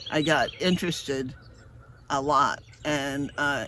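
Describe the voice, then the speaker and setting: A man speaks at a very slow pace in a bright, sharp tone. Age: 70s. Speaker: seed company farmer and collard seed saver. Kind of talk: informal presentation to a live online audience. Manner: halting, many fillers.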